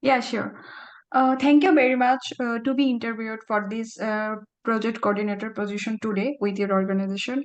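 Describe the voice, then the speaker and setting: A woman's fairly high voice at a fairly quick pace. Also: ordinary pitch variation. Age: young. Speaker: job interview candidate. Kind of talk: mock job interview answers. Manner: fast; halting.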